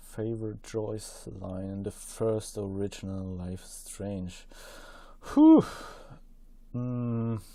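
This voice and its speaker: Delivered at a very slow pace with long, frequent pauses, the dark, mellow voice has a non-native accent, monotone, flat intonation and big swings in loudness. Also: man, fairly low pitch for a man. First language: not English. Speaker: podcast guest. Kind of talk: casual chat. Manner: hesitant, many fillers.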